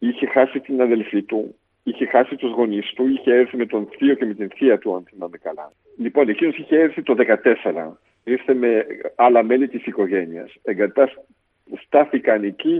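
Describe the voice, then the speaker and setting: With an unremarkable speaking voice, a man at medium pitch uses lively intonation at a moderate pace. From Belgium, Brussels. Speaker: politician. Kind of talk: interview testimony.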